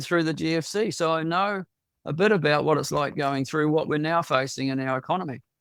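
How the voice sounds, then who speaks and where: A man with a New Zealand accent speaks at a fairly quick pace in a fairly high pitch, with ordinary pitch variation and a dry, close sound with no echo. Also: very clean recording, silent background. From New Zealand, Tauranga. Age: 70s. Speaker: local election candidate. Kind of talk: interview. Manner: halting.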